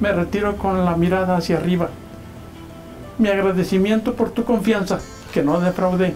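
The man's voice is high-pitched, with monotone, flat intonation at a moderate pace. Faint music sits in the background. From Michoacán, Mexico. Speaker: journalist. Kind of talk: reading aloud a resignation letter. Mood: reflective, proud. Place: home room.

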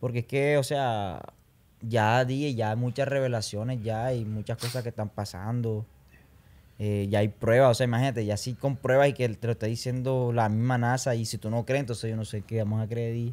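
A plain, everyday voice. It moves at a moderate pace with fairly even intonation. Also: man, medium pitch for a man. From Colombia, Barranquilla; Colombia. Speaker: urban music singer; podcast guest. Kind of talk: casual interview chat. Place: studio. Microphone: studio mic.

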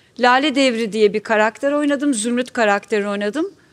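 A woman speaks at a moderate pace. Her pitch is fairly high and her intonation lively. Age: 60s. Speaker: actress. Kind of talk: panel talk. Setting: stage with audience. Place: stage.

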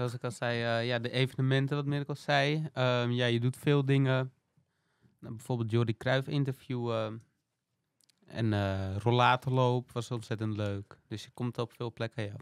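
A man's medium-pitched voice at a moderate pace, with fairly even intonation and a dry, close sound free of echo. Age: 20s. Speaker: student intern. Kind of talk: casual interview. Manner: halting, many hesitations.

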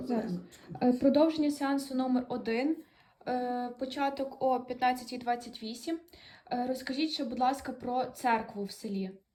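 Her dark, mellow tone pairs with a high pitch as a woman speaks at a moderate pace. The intonation is fairly even. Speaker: dialectology student interviewer.

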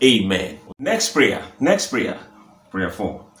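In a room with audible echo, a man speaks at a fairly slow pace with very wide pitch swings. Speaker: pastor. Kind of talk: fervent repetitive prayer leading, declaring and decreeing. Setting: recorded video to camera. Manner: emphatic, insistent repetition with drawn-out 'uh' pauses; urgent, exhorting the audience to pray aloud. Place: home room. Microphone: phone near.

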